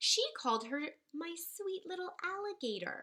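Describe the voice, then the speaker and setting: A female-sounding put-on character voice sits at an extremely high pitch and swings very widely in pitch. The pace is moderate. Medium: read story. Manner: excited.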